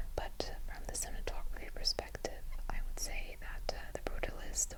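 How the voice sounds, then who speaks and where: Whispering in a gentle tone at a moderate pace, with noticeable background noise. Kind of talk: gentle whispered ASMR talk to camera. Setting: close-mic'd home recording. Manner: whispered, gentle, soft-spoken.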